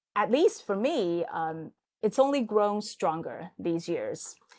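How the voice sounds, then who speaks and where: A woman speaks with a Chinese accent. The background is quiet. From China, Hangzhou area (Zhejiang). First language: Mandarin Chinese. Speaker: podcast host. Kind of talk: casual chat.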